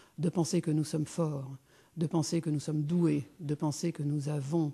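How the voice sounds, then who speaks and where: A woman speaks in a very deep, low voice with a dark, mellow tone. She sounds somewhat breathy, with fairly even intonation and a fairly slow pace. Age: 60s. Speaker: businesswoman and speaker. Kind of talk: conference talk. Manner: hesitant, many fillers.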